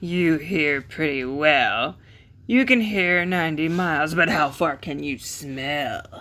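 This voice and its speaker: A gruff, put-on character voice of middle pitch at a fairly slow pace. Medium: read story. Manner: gruff, boastful.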